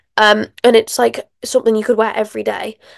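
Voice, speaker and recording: A woman with a British accent speaks at a moderate pace in a dry, close sound with no echo. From England. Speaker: motorsport podcaster. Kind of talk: casual solo podcast review. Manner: animated.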